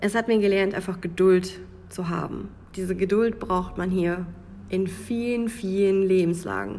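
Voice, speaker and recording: Speaking at a fairly slow pace with a Münsterland accent, a woman has a dark, mellow tone and monotone, flat intonation, with audible room echo around her. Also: medium pitch for a woman. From Münsterland, Germany. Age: 20s. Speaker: podcaster. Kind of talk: personal monologue podcast.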